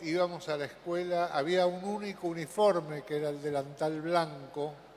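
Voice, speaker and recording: Noticeable background noise sits behind a high-pitched man. He speaks at a fairly slow pace with hardly any pauses. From Argentina, Buenos Aires. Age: 70s. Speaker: conference speaker. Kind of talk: conference talk.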